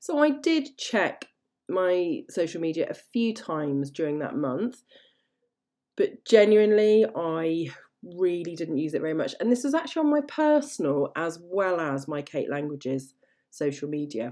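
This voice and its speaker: The voice has a dark, mellow tone and an English accent, moving at a moderate pace. Its pitch swings very widely, and the recording is very clean with a silent background. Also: woman, fairly low pitch for a woman. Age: 40s. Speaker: language teacher trainer and podcast host. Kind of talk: solo podcast monologue. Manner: animated.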